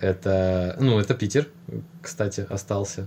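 A man speaks in a fairly low, somewhat breathy voice with ordinary pitch variation. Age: 20s. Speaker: airline pilot. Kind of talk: casual chat.

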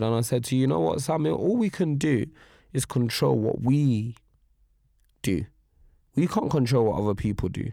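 In a very clean recording with a silent background, a man speaks at a moderate pace and a medium pitch, his tone dark and mellow and his intonation lively. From Nigeria. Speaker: actor and filmmaker. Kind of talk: casual interview chat.

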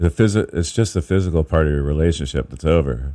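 A man with an American accent, fairly quick in pace, with ordinary pitch variation. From Northern California. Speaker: spoken word poet. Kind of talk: casual interview chat. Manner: relaxed, easygoing.

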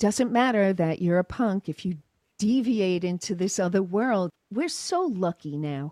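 On a very clean recording with a silent background and a dry, close sound with no echo, a woman with an American accent speaks at a very slow pace in a medium pitch, her tone dark and mellow and her intonation lively. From New York, Long Island. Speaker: chiropractor. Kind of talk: interview.

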